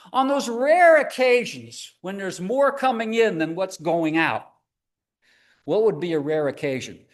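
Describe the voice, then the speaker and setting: Through audible room echo, a man with a high voice speaks at a fairly slow pace with long, frequent pauses and very wide pitch swings. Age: 70s. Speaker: presenter on scams for seniors. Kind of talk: live presentation. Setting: church hall with live audience.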